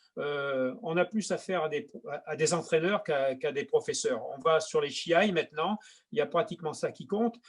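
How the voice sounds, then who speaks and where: This man has a high pitch and ordinary pitch variation. He speaks at a moderate pace. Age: 70s. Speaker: judo teacher, 8th dan. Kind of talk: interview. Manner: halting, many repetitions.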